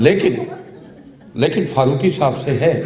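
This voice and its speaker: Over noticeable background noise and audible room echo, a man speaks at a fairly high pitch with lively intonation. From Pakistan, Jhang (Punjab). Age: 60s. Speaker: speaker at book launch. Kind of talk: ceremonial speech.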